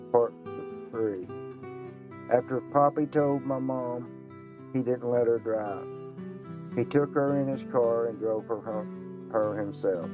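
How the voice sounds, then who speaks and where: Music plays behind a man with an Appalachian accent who speaks very slowly at a medium pitch, his intonation lively and his pauses long and frequent. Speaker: memoir author and storyteller. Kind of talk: memoir reading.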